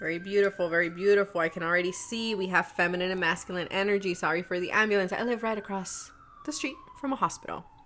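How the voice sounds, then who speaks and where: A woman's very fast speech over noticeable background noise. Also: medium pitch for a woman, ordinary pitch variation. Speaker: tarot reader. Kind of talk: tarot reading to camera. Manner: animated.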